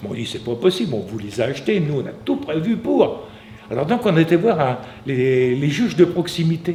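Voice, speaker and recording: There is noticeable background noise behind this man. He talks at a moderate pace in a fairly high pitch, with very wide pitch swings. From Normandy, Manche (France). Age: 70s. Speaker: artisan biscuit maker. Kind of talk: interview storytelling. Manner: halting, many repetitions; animated.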